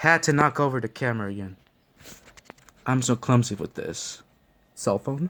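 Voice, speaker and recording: A man speaks at a medium pitch and moderate pace, with ordinary pitch variation and long, frequent pauses. The sound is dry and close, with no echo. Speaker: gaming youtuber. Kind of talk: gameplay commentary. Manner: halting, self-correcting.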